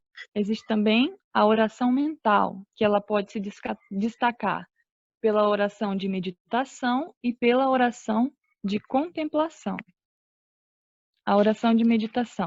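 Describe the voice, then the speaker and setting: Recorded with a dry, close sound and no echo, a woman speaks at a fairly slow pace, her pitch fairly high with ordinary variation. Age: 20s. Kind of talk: religious teaching talk. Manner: halting. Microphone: connection cutting out.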